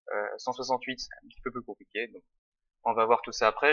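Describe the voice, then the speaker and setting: The man talks at a very fast pace. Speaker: tutorial presenter. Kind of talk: tutorial. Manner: casual, hesitant with fillers.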